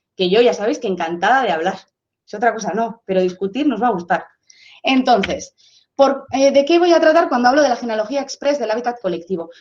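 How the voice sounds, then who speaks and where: A woman speaks at a high pitch with lively intonation. Her tone is animated and her pace fairly quick. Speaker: sociologist. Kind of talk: lecture. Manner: fast.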